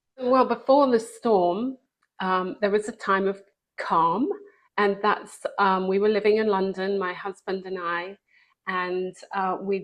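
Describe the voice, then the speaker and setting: A woman with a British accent speaks at a very slow pace, her medium pitch held to fairly even intonation. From England. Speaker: author and speaker. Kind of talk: testimony.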